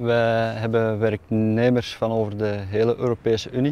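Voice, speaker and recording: The intonation stays monotone and flat. Delivery comes at a fairly slow pace. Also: man. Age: 30s. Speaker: tomato farm manager. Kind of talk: interview testimony. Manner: hesitant, frequent 'eh' fillers.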